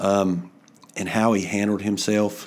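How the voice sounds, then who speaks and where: This man speaks with a North Carolina accent. His fairly low voice stays monotone and flat. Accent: Southern US (North Carolina). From North Carolina, Alexander County. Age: 50s. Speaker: sheriff candidate, police officer. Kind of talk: interview.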